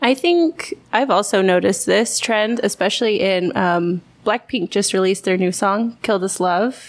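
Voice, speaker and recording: This woman has an ordinary speaking voice, with a medium pitch and an American accent. Her pace is moderate, her loudness very even, and her pitch varies in an ordinary way. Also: hardly any pauses. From Texas. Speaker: English teacher at a private academy. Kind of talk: casual chat. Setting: bar.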